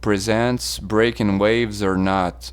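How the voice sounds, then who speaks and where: A man speaks with a non-native accent. His pace is very slow. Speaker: surf self-defense instructor. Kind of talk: audiobook reading.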